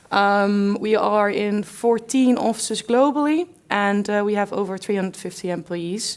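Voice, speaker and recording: A woman in a Dutch accent at medium pitch, moderate pace and ordinary pitch variation. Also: hardly any pauses. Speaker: company representative presenting at conference. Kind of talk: conference talk.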